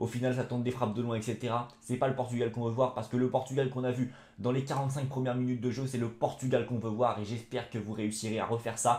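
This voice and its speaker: A man's somewhat breathy voice at a very fast pace, with hardly any pauses. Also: medium pitch for a man. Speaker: football YouTuber. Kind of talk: football match debrief vlog. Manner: animated.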